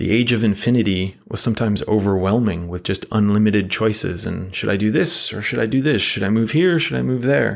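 A man with an American accent and a normal speaking voice talks at a fairly quick pace. His pitch is fairly low, his intonation lively, and the background quiet. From United States. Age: 30s. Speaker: podcast host. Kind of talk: casual monologue.

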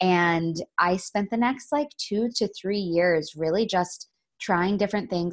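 Recorded very cleanly with a silent background, a woman with a normal speaking voice, a fairly low pitch and ordinary pitch variation speaks in an American accent. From Florida. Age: 30s. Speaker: collaboration consultant. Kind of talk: interview.

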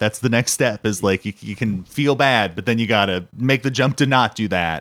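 Dry and close with no echo, a man with an American accent speaks at a fairly low pitch with ordinary pitch variation. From Southern California. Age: 30s. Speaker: comedian and podcast host. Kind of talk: casual chat.

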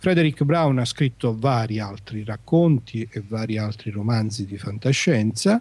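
A somewhat breathy man speaks at a medium pitch with ordinary pitch variation. His pace is fairly slow, with hardly any pauses. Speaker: guest on sci-fi podcast, writer/professor. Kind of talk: casual chat, book discussion.

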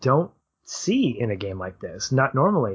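A man speaks at a fairly slow pace in a medium-pitched, somewhat breathy voice. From Arkansas. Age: 40s. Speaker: film podcast co-host. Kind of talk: casual interview.

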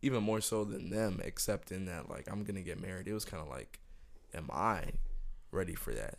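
Audible room echo surrounds a man speaking at a moderate pace. His fairly low voice carries vocal fry. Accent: American. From Miami, Florida. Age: 20s. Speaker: podcast host. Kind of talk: casual chat.

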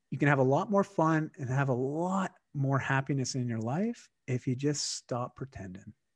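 At a moderate pace with hardly any pauses, a man with a slight Canadian accent speaks in a fairly high pitch and lively intonation. The sound is dry and close with no echo, against a quiet background. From Canada. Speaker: wellness coach. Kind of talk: casual interview chat. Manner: halting, repeats words.

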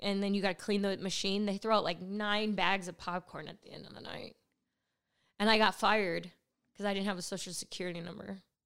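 Delivered at a fairly quick pace with a Californian accent, the voice shows big swings in loudness. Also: woman, medium pitch for a woman. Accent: Californian American. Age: 30s. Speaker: stand-up comedian. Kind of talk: casual chat. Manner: animated.

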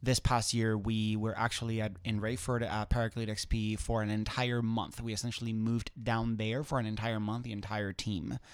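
A man with a Spanish accent talks at a medium pitch and a moderate pace, in a monotone, flat intonation with hardly any pauses. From southwestern Spain. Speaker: competitive skydiver. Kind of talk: casual interview. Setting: studio. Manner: halting, many fillers.

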